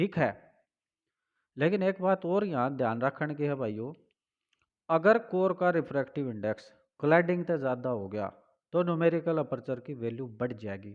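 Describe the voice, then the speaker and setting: A man's fairly high voice in a Haryana accent, with very wide pitch swings, long and frequent pauses, and a quiet background. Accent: Haryanvi. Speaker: teacher. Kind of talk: physics lecture.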